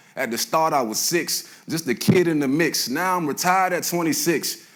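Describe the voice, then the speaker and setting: A man speaks at a moderate pace in an American accent. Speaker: spoken word poet. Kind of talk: spoken word poetry performance. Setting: live stage. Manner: intense, emotional.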